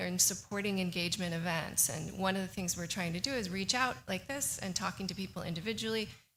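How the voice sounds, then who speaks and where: A woman speaks with an American accent at a fairly quick pace. Audible room echo surrounds her voice. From California. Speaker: professor giving a presentation. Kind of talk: public presentation to county board. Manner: fast; halting, many fillers.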